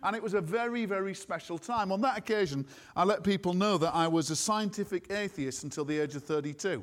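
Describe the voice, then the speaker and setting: The delivery is very fast, with ordinary pitch variation. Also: man, high pitch for a man. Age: 60s. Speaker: preacher. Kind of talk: sermon. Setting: church with congregation.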